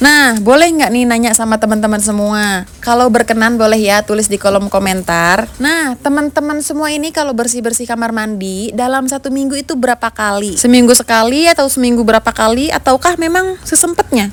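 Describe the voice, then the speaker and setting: A woman with a Sundanese accent talks at a fairly quick pace with hardly any pauses, her fairly high voice carrying lively intonation. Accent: Sundanese-tinged Indonesian. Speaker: home cleaning vlogger. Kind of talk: casual vlog narration. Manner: chatty, friendly.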